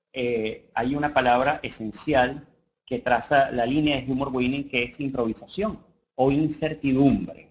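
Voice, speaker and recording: This man has a medium pitch. He speaks at a fairly slow pace. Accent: Venezuelan. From Venezuela. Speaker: coach and humorist. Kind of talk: webinar lecture. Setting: online class. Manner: halting, many fillers.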